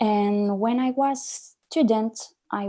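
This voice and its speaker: Her voice is fairly high in pitch for a woman yet dark and mellow in tone. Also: quiet background. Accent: French. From France. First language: French. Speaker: young social entrepreneur, panelist. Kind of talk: panel discussion. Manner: hesitant, many fillers.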